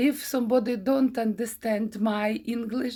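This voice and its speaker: A woman at a very slow pace with a non-native accent and ordinary pitch variation, in a very clean recording with a silent background. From Ukraine. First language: Ukrainian. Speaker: craft teacher. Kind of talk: tutorial. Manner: halting, many fillers.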